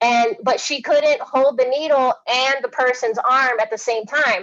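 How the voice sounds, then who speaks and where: This woman speaks at a moderate pace with a high pitch. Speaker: education presenter. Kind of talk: webinar presentation. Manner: halting.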